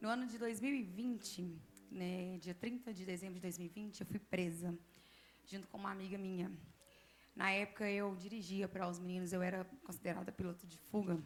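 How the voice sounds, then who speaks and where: A woman at a medium pitch with a plain, everyday voice, fairly even intonation and a fairly quick pace. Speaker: church member giving testimony. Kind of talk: testimony.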